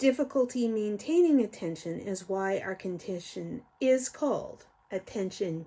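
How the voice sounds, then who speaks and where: A woman speaks fairly slowly in a dark, mellow tone that is somewhat breathy. Her intonation is lively. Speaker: YouTuber explaining ADHD. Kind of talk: educational talk. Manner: slow, careful enunciation.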